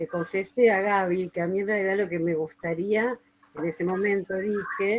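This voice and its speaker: At a moderate pace, a woman speaks in an unremarkable speaking voice at a medium pitch. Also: fairly even intonation. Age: 60s. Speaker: retired teacher, radio storyteller. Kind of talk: interview, casual explanation.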